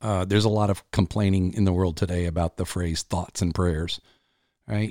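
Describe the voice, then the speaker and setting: Recorded very cleanly with a silent background, a man speaks at a fairly low pitch with ordinary pitch variation, the sound dry and close with no echo. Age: 50s. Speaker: executive coach and podcast host. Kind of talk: solo monologue podcast. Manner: casual, with filler words.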